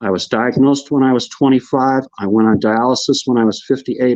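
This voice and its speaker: Here a man talks at a fairly quick pace. His pitch sits in the medium range. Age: 60s. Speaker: online talk show host and kidney transplant patient. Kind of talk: live-streamed talk show monologue. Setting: live online broadcast. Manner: animated; repeats words when starting sentences.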